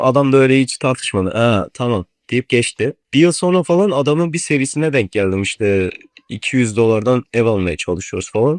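A man with an unremarkable speaking voice at a medium pitch, lively intonation, and a moderate pace, in a dry, close sound with no echo over a quiet background. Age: young. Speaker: university student and video editor who trades. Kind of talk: casual chat.

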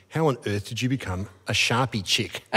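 The speaker moves at a fairly quick pace with an Australian accent. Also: man. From Australia, Melbourne. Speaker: interviewer. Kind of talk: onstage interview. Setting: stage with audience. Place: stage. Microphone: studio mic.

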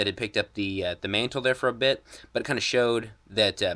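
A man talks at a fairly quick pace with a bright, sharp tone and ordinary pitch variation. The background is quiet. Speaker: toy reviewer. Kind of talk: casual review commentary. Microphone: phone near.

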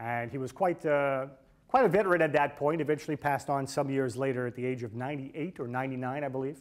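A man with a medium pitch talks at a fast pace with ordinary pitch variation.

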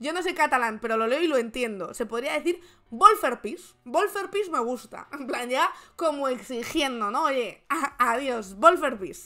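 In an animated tone, a woman with high pitch projects a raised voice at a fairly slow pace with very wide pitch swings. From Spain. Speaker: political commentary streamer. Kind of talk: casual live stream chat. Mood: sarcastic, joking. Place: home room.

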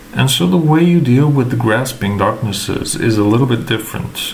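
A man with a non-native accent speaks with ordinary pitch variation. Noticeable background noise is present. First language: not English. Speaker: gaming content creator. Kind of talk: tutorial. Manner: hesitant, filler words.

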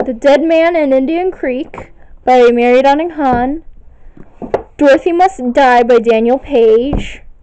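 Over light background noise, a woman speaks in a high pitch with ordinary pitch variation. Her pace is fairly slow. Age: young (19). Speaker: video blogger. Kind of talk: bookshelf tour listing titles. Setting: home recording on camera, echoey room. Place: home room. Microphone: phone near.

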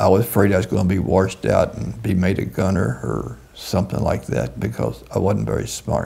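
Speaking at a fairly quick pace, a man with a Southern US accent and a very deep, low pitch makes very wide pitch swings. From US South, Kentucky (Owensboro). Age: 80s+. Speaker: war veteran. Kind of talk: interview. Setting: in person, on camera.

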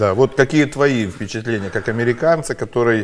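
Ordinary pitch variation from a man. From Ukraine. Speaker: truck driver and blogger; blogger. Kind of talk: casual chat. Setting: studio. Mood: animated, sarcastic political talk. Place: studio.

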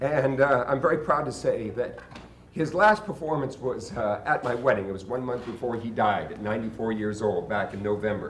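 Light background noise and audible room echo surround a man speaking with ordinary pitch variation. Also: moderate pace. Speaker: sideshow performer and emcee. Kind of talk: live stage emcee address to audience. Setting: live event, stage. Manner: emotional, hesitant. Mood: emotional, tribute to late performer. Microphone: camera far.

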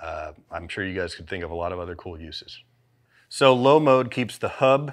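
A man with an American accent and lively intonation, over a quiet background. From Southern United States. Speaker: creative director. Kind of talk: product instructional. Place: studio. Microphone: lapel.

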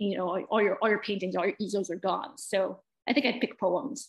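A woman speaks with an American accent in a quiet background. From US Midwest. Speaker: poet. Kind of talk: interview. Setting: video call. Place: home room. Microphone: video call.

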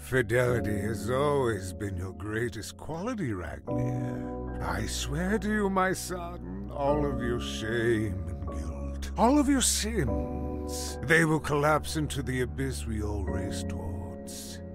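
Over loud music in the background, a man speaks at a very deep, low pitch and a fairly slow pace. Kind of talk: ominous ritual incantation. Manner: solemn, menacing.

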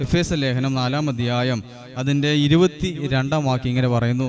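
At a moderate pace and medium pitch, a man talks with ordinary pitch variation against faint background noise.

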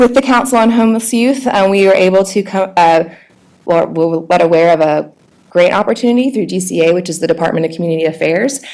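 At a very fast pace, a woman talks at a medium pitch with lively intonation. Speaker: nonprofit director. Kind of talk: presentation. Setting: board meeting.

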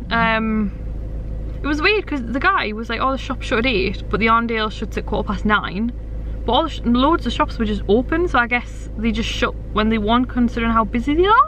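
A woman speaks at a fairly quick pace with lively intonation and a fairly high pitch, and background noise is clearly audible.

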